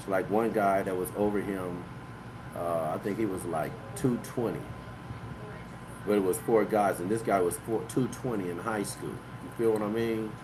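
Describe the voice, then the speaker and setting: A man with a fairly low pitch speaks at a moderate pace amid audible room echo. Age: 60s. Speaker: livestream host and author. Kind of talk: casual live-stream monologue. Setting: live online broadcast. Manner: loose, filler-heavy talk (you know what I mean).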